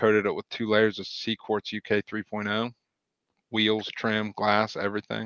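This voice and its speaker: A man with a rural Ohio accent, fairly low pitch and flat, monotone intonation. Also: moderate pace. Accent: rural Ohio country. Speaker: auto detailer and business owner. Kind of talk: casual interview chat.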